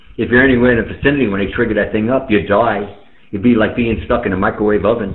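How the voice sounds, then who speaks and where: A man at a very fast pace, with audible room echo. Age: 60s. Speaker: amateur radio operator. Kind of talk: casual chat. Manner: animated.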